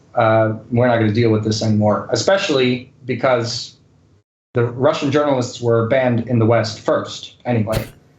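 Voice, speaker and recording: Somewhat breathy and at a medium pitch, a man keeps his loudness very even and his intonation fairly even. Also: moderate pace. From grew up bilingual English and Spanish. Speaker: journalist covering Russia. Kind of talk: casual interview chat. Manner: casual, filler-heavy.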